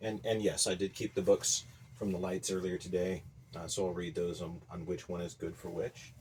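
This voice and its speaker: A man with a very deep, low pitch speaks quietly and somewhat breathily at a moderate pace, with long, frequent pauses and big swings in loudness. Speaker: agriculture teacher and home gardener. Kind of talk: casual video vlog. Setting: small greenhouse at night. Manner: low, quiet voice.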